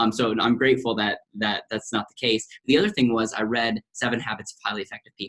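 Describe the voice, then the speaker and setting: With an American accent, a man talks at a very fast pace with hardly any pauses. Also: medium pitch for a man, dry, close sound with no echo. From US Midwest, central Wisconsin. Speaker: financial advisor. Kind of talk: podcast interview. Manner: animated.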